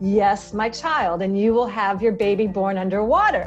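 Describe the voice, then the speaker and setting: A booming, put-on character voice moves along at a moderate pace. Clear music plays in the background. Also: woman, medium pitch for a woman. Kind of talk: announcer voiceover. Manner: grand, solemn.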